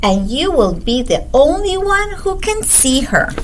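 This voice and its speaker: A woman uses a put-on character voice at a fairly slow pace. Background noise is clear. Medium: read story.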